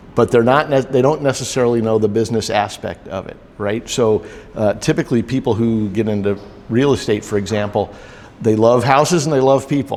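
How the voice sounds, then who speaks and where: At a fairly quick pace, a man talks in a medium pitch with ordinary pitch variation. Noticeable background noise runs behind him. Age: 60s. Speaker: business coach. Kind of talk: interview. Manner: halting, many fillers.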